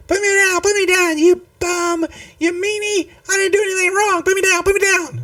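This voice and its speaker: In a put-on character voice with an extremely high pitch, the speaker keeps a monotone, flat intonation at a moderate pace. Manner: whining.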